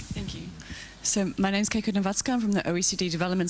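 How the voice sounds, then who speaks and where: Noticeable background noise runs behind this clip. A woman talks at a very fast pace with fairly even intonation. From Australia. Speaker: policy researcher. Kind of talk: conference panel comment.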